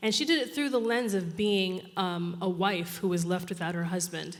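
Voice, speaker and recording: A woman at a medium pitch, with audible room echo. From New York. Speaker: social innovation strategist. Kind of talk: conference talk. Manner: fast.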